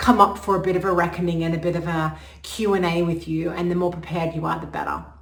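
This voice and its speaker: A woman speaks at a fairly quick pace in a fairly low pitch, with noticeable background noise and audible room echo. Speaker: astrologer. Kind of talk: casual talk to camera. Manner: fast; animated.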